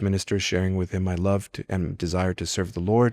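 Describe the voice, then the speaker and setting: Speaking at a fairly quick pace with a Spanish accent, a man's very deep, low voice comes through dry and close with no echo on a very clean recording with a silent background. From California, Mexican-American. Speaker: priest. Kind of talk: testimony. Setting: chapel. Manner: halting, with self-corrections.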